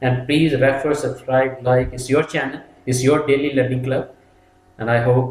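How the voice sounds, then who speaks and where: A man speaks at a medium pitch. His intonation is fairly even. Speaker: safety trainer. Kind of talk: tutorial. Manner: fast.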